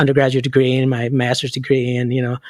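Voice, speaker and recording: A man with a Chicago accent and a fairly high pitch speaks at a very fast pace. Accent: Chicago American English. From Chicago, Illinois. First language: Spanish. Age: 50s. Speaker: school counselor. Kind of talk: interview. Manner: halting.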